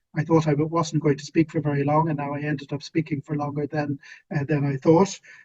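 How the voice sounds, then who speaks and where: At a fairly quick pace, a man with a fairly high voice talks in a flat monotone, the sound dry and close with no echo. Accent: Irish. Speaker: policy expert, webinar panelist. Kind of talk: panel discussion. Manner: hesitant, many fillers.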